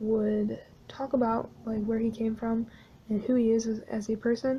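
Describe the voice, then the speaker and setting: A woman talks at a moderate pace in a monotone, flat delivery. Her fairly high voice is somewhat breathy, with a dark, mellow tone. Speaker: artist narrating drawing video. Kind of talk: casual voice-over narration. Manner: hesitant, many fillers.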